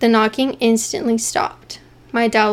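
An unforced reading voice carries the whole clip.

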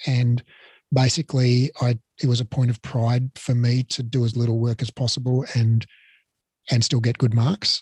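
Somewhat breathy and in an Australian accent, a man speaks at a medium pitch and moderate pace with monotone, flat intonation. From Australia, Melbourne. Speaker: Pilates educator and business owner. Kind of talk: interview. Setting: video call.

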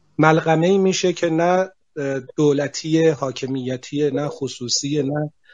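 A man's fairly high-pitched voice, very slow in pace, with fairly even intonation. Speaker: CEO of a bank technology holding. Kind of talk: panel discussion. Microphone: connection dropped.

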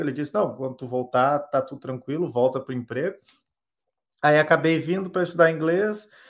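A man's normal speaking voice at a fairly quick pace, with ordinary pitch variation. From southern Brazil (Rio Grande do Sul). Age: 30s. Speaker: software developer. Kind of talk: interview.

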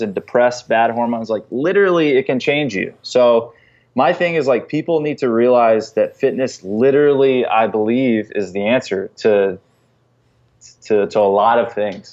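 A man with an American accent speaks in a plain, everyday voice of medium pitch. His pace is moderate, with ordinary pitch variation. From North Carolina. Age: 30s. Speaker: fitness professional. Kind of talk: podcast interview.

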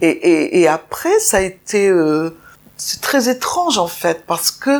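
A woman's pitch swings very widely as she talks very slowly. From Nice, southern France. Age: 70s. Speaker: interviewee sharing life story. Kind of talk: personal testimony. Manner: halting, repetitive.

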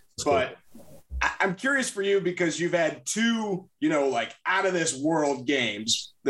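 An energetic American accent at a moderate pace, with ordinary pitch variation. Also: man. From Chicago area, Illinois. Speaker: sports podcast host. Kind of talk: casual sports chat.

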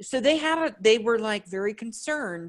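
A woman with a plain, everyday voice speaks at a moderate pace, fairly high in pitch, with lively intonation. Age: 30s. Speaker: podcast guest. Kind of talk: casual chat. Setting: video call.

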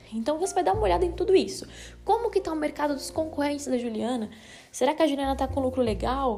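A woman speaks at a very fast pace in a high pitch with very wide pitch swings. Her tone is dark and mellow. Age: 20s. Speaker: finance educator. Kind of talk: solo explainer podcast. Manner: casual, conversational.

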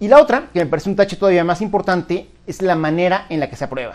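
At a very fast pace, a man talks in a high pitch. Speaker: economics commentator. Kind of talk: opinion monologue. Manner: halting.

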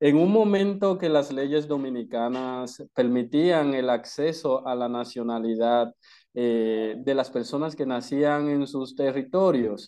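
With a dark, mellow tone and a medium pitch, this man talks very slowly, his pitch varying in an ordinary way against a quiet background. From Dominican Republic. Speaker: activist. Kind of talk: interview.

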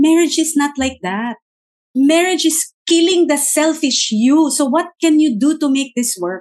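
Lively intonation marks a woman's high-pitched voice, which moves at a fairly slow pace. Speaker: marriage ministry founder. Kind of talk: casual interview chat, Taglish.

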